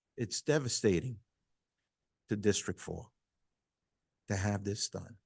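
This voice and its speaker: At a very slow pace and with long, frequent pauses, a man speaks in a somewhat breathy voice, the sound dry and close with no echo. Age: 60s. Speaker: school committee member. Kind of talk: public comment at town council meeting. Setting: town council meeting hall.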